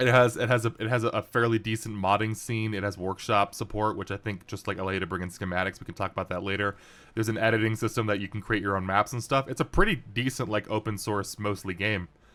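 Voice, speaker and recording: Very fast speech with hardly any pauses, a bright, sharp tone, and fairly even intonation, on a very clean recording with a silent background. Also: man, fairly low pitch for a man. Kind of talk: casual gameplay commentary. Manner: hesitant, many fillers.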